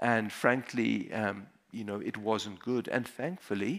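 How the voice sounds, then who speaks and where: Against a quiet background, a man speaks with fairly even intonation. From South Africa. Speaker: emergency physician; conference speaker. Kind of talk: conference talk. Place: hall. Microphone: headset.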